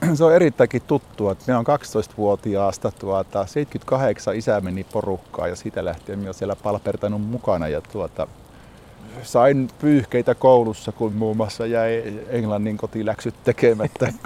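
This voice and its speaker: In a dark, mellow tone, a man of medium pitch speaks at a fairly slow pace with ordinary pitch variation, the sound dry and close with no echo. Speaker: hunting club chairman. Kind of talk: interview. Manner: hesitant with filler words.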